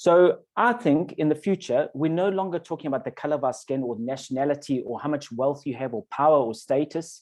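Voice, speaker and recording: The man's pace is moderate. He has an unremarkable speaking voice. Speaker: webinar speaker. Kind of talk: webinar talk. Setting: online webinar.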